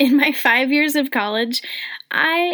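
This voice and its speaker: Ordinary pitch variation runs through speech with an American accent. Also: woman. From Colorado, US. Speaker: podcast host, personal trainer and wellness marketer. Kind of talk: personal story monologue. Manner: animated.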